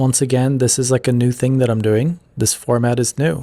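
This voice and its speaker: A quiet, medium-pitched male voice with fairly even intonation. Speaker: YouTuber and podcaster. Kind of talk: solo podcast monologue. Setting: office.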